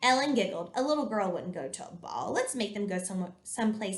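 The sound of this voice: This is an unforced reading voice. It reads the words out plainly.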